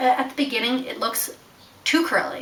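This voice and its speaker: Speaking at a moderate pace, a woman raises and projects her high-pitched voice over noticeable background noise. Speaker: beauty vlogger. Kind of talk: casual vlog, makeup tutorial. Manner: animated.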